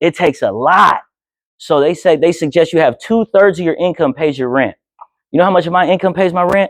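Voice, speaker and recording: Fairly quick, high-pitched male speech with ordinary pitch variation. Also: dry, close sound with no echo. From Oakland, California (Alameda / East Oakland). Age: 30s. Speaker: filmmaker and journalist. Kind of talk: talk to high school class. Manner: casual, with frequent hesitations.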